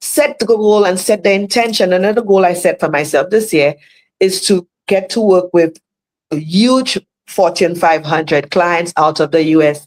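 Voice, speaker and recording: With a Caribbean accent, a woman speaks in an animated tone at a moderate pace. Her medium pitch shows ordinary variation while her loudness stays very even. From Saint Lucia. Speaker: motivational speaker. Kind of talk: motivational talk.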